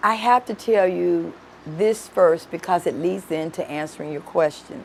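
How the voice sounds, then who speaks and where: A woman with a Memphis accent speaks at a moderate pace, her fairly low voice carrying lively intonation. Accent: Southern US (Memphis). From Memphis, Tennessee (US South). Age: 60s. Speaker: judge. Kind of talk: interview.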